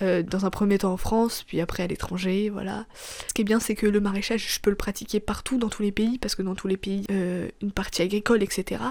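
With monotone, flat intonation, a woman talks at a fairly quick pace and medium pitch amid noticeable background noise. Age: 20s. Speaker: podcaster. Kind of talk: personal monologue. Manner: halting; casual.

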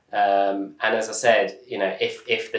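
With audible room echo around him, a man talks at a very slow pace. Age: 30s. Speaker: startup founder and angel investor. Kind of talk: interview conversation.

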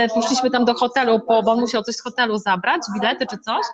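A woman speaks at a moderate pace with a fairly high pitch. Noticeable background noise runs behind her. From Poland, Masuria (Szczytno). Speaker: motivational coach for women. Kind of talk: interview. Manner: animated.

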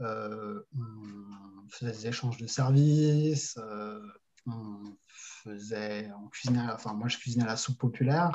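Man's dark, mellow voice at a medium pitch, very slow, with ordinary pitch variation and big swings in loudness. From France, Paris region and Toulouse. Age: 30s. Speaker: e-commerce entrepreneur. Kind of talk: casual interview. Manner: hesitant, many fillers.

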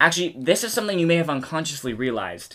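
A man with an American accent, a fairly high pitch, very wide pitch swings and a very fast pace. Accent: American, with some British-sounding words. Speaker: podcast co-host. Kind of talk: casual chat.

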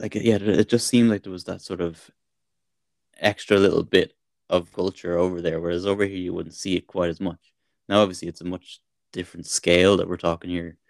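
A man with an Irish accent speaks fairly quickly in a very deep, low pitch and a monotone, flat intonation. His loudness swings widely, and the sound is dry and close with no echo. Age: 40s. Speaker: podcast co-host. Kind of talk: casual chat.

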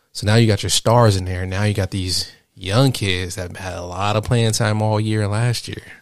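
A man talks at a moderate pace in a fairly low, flat monotone, hardly pausing at all. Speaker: podcast co-host, college student. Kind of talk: casual chat between partners. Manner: calm, relaxed.

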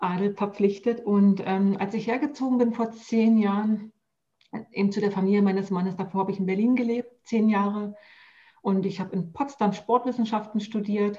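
A woman speaks at a medium pitch with a dark, mellow tone and somewhat breathy delivery. Her intonation stays fairly even. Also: moderate pace. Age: 40s. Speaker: health coach. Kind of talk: casual chat.

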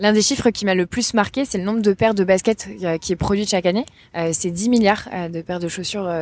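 A woman's medium-pitched voice, an ordinary speaking voice, at a fairly quick pace with fairly even intonation. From rural France. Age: 20s. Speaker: entrepreneur. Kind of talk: interview. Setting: outdoors.

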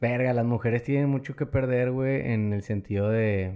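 On a very clean recording with a silent background, a man with a medium pitch and a dark, mellow tone speaks at a very slow pace. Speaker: podcast host. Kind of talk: casual chat.

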